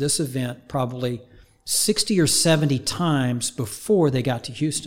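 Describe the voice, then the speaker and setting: A man with lively intonation at a moderate pace, amid noticeable background noise. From Oklahoma, small town north of Tulsa. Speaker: high performance coach. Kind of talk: casual interview.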